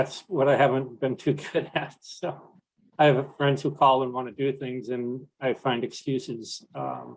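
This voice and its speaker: Here is a man with a normal speaking voice and an American accent at a medium pitch. He talks at a fairly slow pace with fairly even intonation. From New York. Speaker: panelist living with Parkinson's. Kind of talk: panel discussion.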